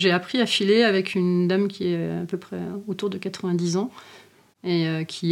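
Intonation stays fairly even throughout. The delivery is very slow. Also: woman. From rural France. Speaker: farmer. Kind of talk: interview.

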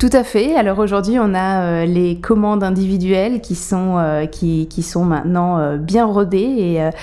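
At a moderate pace, a woman speaks in a medium pitch with ordinary pitch variation over noticeable background noise. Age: 30s. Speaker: caterer and social entrepreneur. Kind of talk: interview. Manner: hesitant, many fillers.

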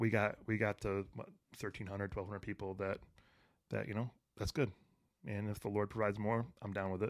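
A man with an American accent, fairly low-pitched, at a fairly quick pace with fairly even intonation and long, frequent pauses. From Detroit, Michigan. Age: 40s. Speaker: author and mental health speaker. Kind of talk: casual interview chat. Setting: studio.

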